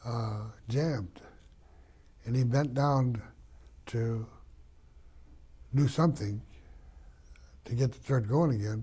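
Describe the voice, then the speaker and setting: A man speaks at a fairly slow pace in a dark, mellow, somewhat breathy voice of medium pitch, with ordinary pitch variation, big swings in loudness, and long, frequent pauses. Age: 80s+. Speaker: war veteran. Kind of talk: oral history interview.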